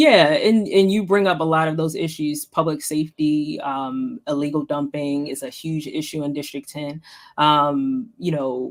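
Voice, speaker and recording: At a moderate pace, the speaker talks with an American accent. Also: woman. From Baltimore, US. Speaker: city council member. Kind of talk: interview. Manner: soft-spoken; hesitant, many fillers.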